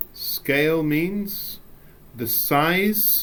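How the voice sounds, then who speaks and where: The speaker talks at a very slow pace, with audible room echo. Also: man. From England. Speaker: English teacher. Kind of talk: recorded lesson. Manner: animated.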